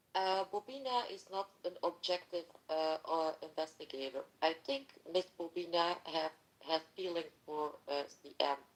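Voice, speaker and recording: A woman with a non-native accent talks at a fairly slow pace. Her pitch is fairly low, and her loudness swings widely. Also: ordinary pitch variation. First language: not English. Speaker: participant in a mock online court. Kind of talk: heated debate. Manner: halting, many fillers.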